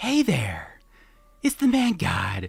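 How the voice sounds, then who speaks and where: A female-sounding voice puts on a character voice pitched fairly high. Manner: flamboyant.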